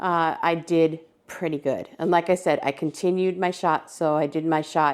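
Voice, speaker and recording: On a very clean recording with a silent background, a woman with a very deep, low pitch speaks at a moderate pace with ordinary pitch variation. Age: 60s. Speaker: lifestyle vlogger. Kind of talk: casual chat. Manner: casual, with many fillers.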